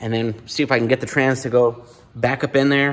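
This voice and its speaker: A man is speaking, and his pace runs fairly quick. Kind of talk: casual vlog chat. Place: garage. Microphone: phone near.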